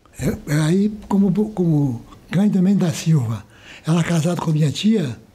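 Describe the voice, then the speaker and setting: With lively intonation, a man speaks at a moderate pace in a high voice. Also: very even loudness. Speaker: community elder. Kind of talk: interview. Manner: halting.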